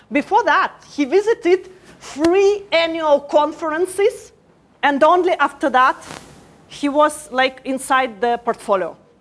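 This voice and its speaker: Noticeable background noise sits under the voice. The delivery is fairly slow, with lively intonation. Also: woman, high pitch for a woman. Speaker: startup program head. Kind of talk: conference talk. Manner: hesitant, many fillers.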